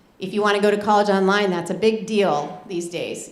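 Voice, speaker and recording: A woman talks at a medium pitch. Noticeable background noise sits behind her. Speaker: school college counselor. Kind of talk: informational presentation. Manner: fast.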